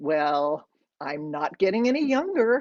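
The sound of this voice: A woman uses a put-on character voice, low in pitch and slightly mellow in tone. She moves at a fairly slow pace with big pitch swings.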